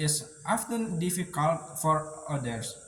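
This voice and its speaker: With an Indonesian accent, a man speaks at a very slow pace and a fairly high pitch with ordinary pitch variation. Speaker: university student. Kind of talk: spoken monologue for English test. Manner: hesitant, many fillers.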